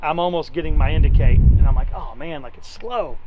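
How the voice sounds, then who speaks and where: Fairly quick speech, dry with no echo, over loud background noise. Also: man. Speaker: channel host. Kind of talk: casual explanatory conversation. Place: open country.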